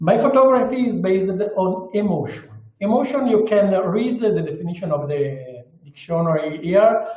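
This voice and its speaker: A man speaks with an Italian accent. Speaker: underwater photographer. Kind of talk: webinar presentation. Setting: video call. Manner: slow; halting.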